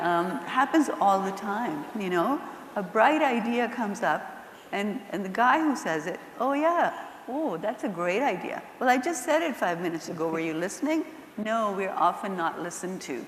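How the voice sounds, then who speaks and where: With audible room echo and noticeable background noise, a woman speaks at a medium pitch and a moderate pace, her pitch swinging very widely. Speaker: nonprofit executive director. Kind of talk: panel discussion. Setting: stage with audience. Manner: soft-spoken; getting louder.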